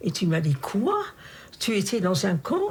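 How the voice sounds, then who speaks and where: A woman's somewhat breathy voice moves at a fairly slow rate. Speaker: Holocaust camp survivor. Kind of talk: interview answer.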